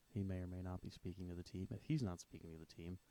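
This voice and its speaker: A quiet man speaks fairly quickly in a very deep, low voice with a dark, mellow tone and ordinary pitch variation. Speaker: football fan commentator. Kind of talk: live stream commentary.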